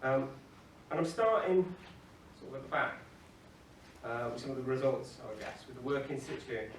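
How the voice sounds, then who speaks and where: With a South Yorkshire accent, a man of medium pitch speaks at a moderate pace with ordinary pitch variation, big swings in loudness and long, frequent pauses, amid audible room echo and noticeable background noise. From northern England (Doncaster, South Yorkshire). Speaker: documentary photographer. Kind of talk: conference talk.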